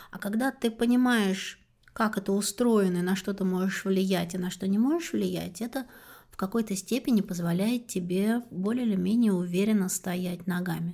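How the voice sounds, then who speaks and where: At a moderate pace, a woman speaks in a dark, mellow, somewhat breathy tone at medium pitch, her loudness swinging widely, on a very clean recording with a silent background. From rural Russia. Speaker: podcast host. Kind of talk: interview.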